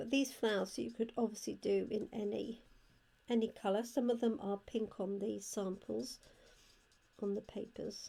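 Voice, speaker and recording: The voice carries a British accent and a dark, mellow tone with vocal fry. Its intonation is monotone and flat. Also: woman, fairly high pitch for a woman, moderate pace. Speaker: card-making crafter and product demonstrator. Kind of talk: crafting tutorial. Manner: quiet.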